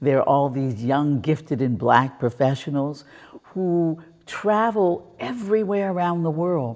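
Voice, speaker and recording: A woman with an American accent, a very deep, low pitch and a fairly slow pace. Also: lively intonation. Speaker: tour company operator. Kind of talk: interview. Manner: animated.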